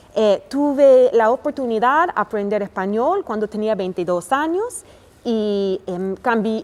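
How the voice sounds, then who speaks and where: A woman talks very slowly, her fairly high voice rising and falling with lively intonation. Background noise is noticeable. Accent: American. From United States. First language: English (speaking Spanish). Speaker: family doctor. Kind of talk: interview. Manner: halting, many fillers.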